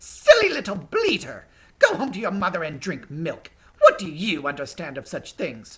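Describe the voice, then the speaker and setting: In a put-on character voice with a middle pitch, the speaker talks at a moderate pace with a hissing sound. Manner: hissing, spiteful, scornful.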